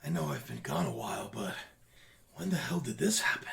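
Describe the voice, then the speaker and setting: A man puts on a raspy character voice, very deep and low in pitch, moving at a fairly quick pace. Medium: actual play. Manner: gruff, dismissive.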